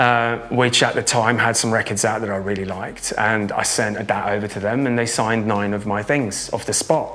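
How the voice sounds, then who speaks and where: In an English accent, a man talks at a moderate pace. Audible room echo and noticeable background noise surround him. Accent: acquired English. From Norway. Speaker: drum and bass producer and DJ. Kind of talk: interview. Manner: halting.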